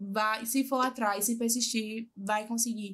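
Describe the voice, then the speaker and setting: A normal speaking voice at a fairly slow pace with fairly even intonation. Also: woman. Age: 20s. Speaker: lawyer. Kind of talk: interview testimony. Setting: live podcast.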